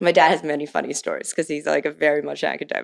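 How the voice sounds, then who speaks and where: A woman with a Midwestern accent talks at a very fast pace. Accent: American, Midwestern. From Taiwan and Ohio (Cleveland suburbs). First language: Mandarin. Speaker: venture capitalist. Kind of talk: podcast interview.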